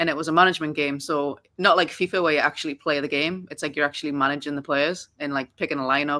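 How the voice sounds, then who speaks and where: At a very fast pace, a woman with a very deep, low pitch speaks in a bright, sharp tone with monotone, flat intonation, on a very clean recording with a silent background. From northern England, Newcastle. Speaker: soccer coach. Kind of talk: podcast interview. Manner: casual, many fillers.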